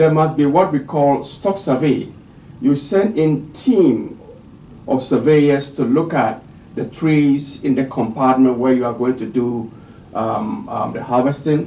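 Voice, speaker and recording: Fairly slow speech from a man with a fairly high pitch, ordinary pitch variation and audible room echo. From Ghana. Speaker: forestry official giving a lecture. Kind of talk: recorded lecture. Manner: hesitant, with frequent fillers.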